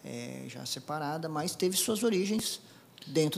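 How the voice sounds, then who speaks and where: The man's intonation is lively even though he talks fairly slowly. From Brazil, interior of Paraná (Apucarana). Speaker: air force colonel, helicopter pilot. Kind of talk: interview. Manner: halting, many fillers and repetitions.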